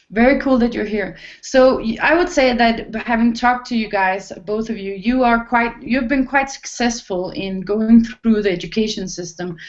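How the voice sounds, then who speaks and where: Speaking with a non-native accent, a woman with a fairly high pitch uses ordinary pitch variation and hardly any pauses. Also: moderate pace. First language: not English. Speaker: online talk show host. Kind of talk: hosted panel discussion. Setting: video call. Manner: halting.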